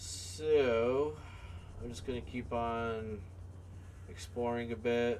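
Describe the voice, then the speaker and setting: With audible room echo, a man at a medium pitch talks at a very slow pace with long, frequent pauses. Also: ordinary pitch variation. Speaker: gaming video creator. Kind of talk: gameplay commentary. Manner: hesitant, filler words.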